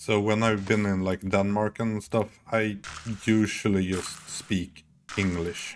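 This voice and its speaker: A man with a Swedish accent speaks very slowly in a fairly low pitch, his intonation flat and monotone. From Sweden. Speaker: video game streamer. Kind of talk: live gameplay commentary.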